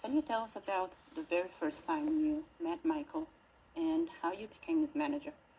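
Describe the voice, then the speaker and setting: Using a put-on character voice, a woman speaks high and shaky, with lively intonation at a moderate pace. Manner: nervous, shaky.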